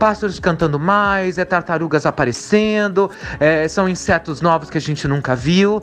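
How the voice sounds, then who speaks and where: A high-pitched man at a moderate pace. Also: ordinary pitch variation. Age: 30s. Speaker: spiritualist. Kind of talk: recorded testimony.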